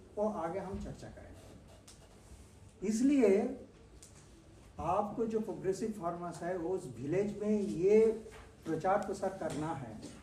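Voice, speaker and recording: A man speaking with audible room echo. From Bengal, India. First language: Bengali (speaking Hindi). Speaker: agricultural scientist. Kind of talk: farmer training lecture.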